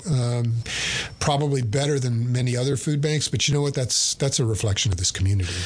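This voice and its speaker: A medium-pitched man with an American accent and ordinary pitch variation, amid noticeable background noise. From East Texas, Bowie County. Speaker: food bank CEO. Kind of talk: radio interview. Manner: hesitant, many fillers.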